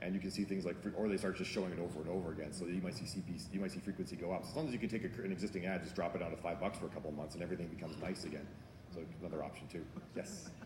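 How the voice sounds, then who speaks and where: A man talks at a very fast pace in a very deep, low pitch with ordinary variation. Room echo is audible. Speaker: author and marketing speaker. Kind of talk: conference talk Q&A.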